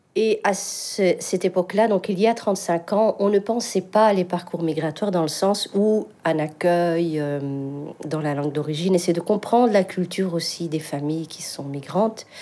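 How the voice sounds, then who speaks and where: With a North African accent, a woman speaks at a moderate pace and a fairly low pitch. Her pitch varies in an ordinary way, and there is noticeable background noise. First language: Berber (speaking French). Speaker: singer. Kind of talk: interview testimony.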